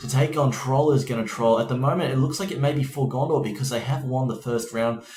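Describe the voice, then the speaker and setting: Noticeable background noise sits behind a man's voice. He speaks at medium pitch with fairly even intonation. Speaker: esports shoutcaster.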